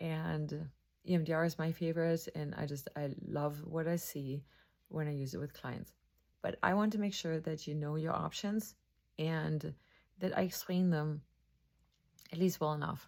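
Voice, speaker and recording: A German accent at a moderate pace, with fairly even intonation and long, frequent pauses. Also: woman. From Germany. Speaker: mental health counselor. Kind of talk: educational talk to camera.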